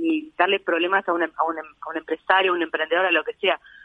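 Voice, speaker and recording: Talking at a very fast pace, a woman speaks with a Uruguayan accent. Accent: Rioplatense Spanish (Uruguayan). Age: 30s. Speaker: model and activist. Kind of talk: interview.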